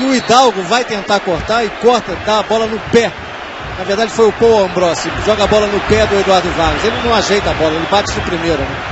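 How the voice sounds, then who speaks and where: A man talks at a fairly quick pace with a high pitch. Noticeable background noise sits behind him. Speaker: TV football pundit. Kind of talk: football co-commentary, analysis. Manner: animated, enthusiastic, praising.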